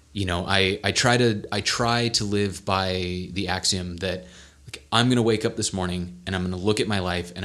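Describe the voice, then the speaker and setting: With an American accent, a man speaks in a very deep, low voice with a bright, sharp tone. His intonation is fairly even at a moderate pace, on a very clean recording with a silent background. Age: 30s. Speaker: podcast co-host, web developer. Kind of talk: casual chat. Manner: halting.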